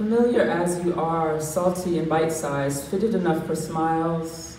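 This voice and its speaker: Noticeable background noise is present. Over it, a woman talks with a fairly low pitch. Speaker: spoken word poet. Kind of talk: poetry reading. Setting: live stage, open mic.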